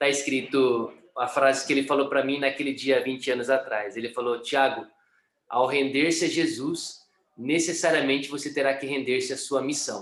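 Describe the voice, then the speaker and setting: A man's fairly high voice runs at a moderate pace in a monotone, flat intonation. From Brazil, São Paulo state (Sorocaba). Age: 30s. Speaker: missionary. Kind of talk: testimony. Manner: hesitant, many fillers.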